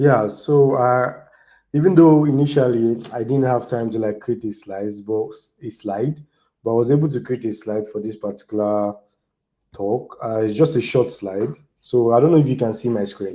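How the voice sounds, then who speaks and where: A man with a Nigerian accent talks at a moderate pace in a dark, mellow tone, his medium pitch showing ordinary variation while his loudness swings widely. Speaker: DevOps engineer and community speaker. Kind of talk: online tech talk.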